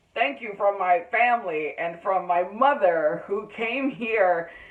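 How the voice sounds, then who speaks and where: Noticeable background noise runs behind a woman at medium pitch. She talks at a fairly slow pace with lively intonation. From Jamaica (Kingston). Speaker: TV news anchor. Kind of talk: acceptance speech.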